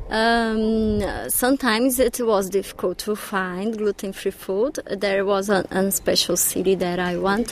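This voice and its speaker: A woman's medium-pitched voice, fairly even intonation, a very slow pace with hardly any pauses, and noticeable background noise. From Brazil, Belo Horizonte. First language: Portuguese (speaking German). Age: 30s. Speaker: blogger. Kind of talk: interview.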